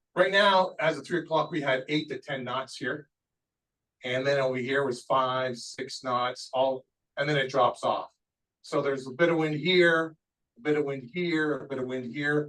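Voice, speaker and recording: This man has an unremarkable speaking voice, fairly high for a man, with ordinary pitch variation and a fairly slow pace. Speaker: weather briefer. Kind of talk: presentation.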